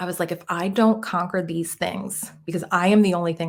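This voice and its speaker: Her voice is fairly low, with a Philadelphia accent. The woman talks at a moderate pace. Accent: Jersey Philly. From US Northeast, Northeast Philadelphia. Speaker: mindset coach. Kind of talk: podcast interview.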